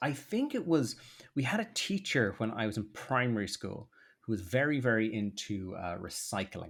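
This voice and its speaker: A man in a South Dublin accent, very wide pitch swings, on a very clean recording with a silent background. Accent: posh South Dublin Irish, easy to understand. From Ireland, South Dublin (Rathmines). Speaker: political content creator. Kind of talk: podcast interview. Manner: lots of fillers.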